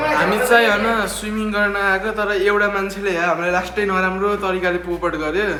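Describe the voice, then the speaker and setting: Amid noticeable background noise and audible room echo, the speaker uses a raised, projected voice in an animated tone. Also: man, high pitch for a man. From Nepal. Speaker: vlogger. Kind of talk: casual chat.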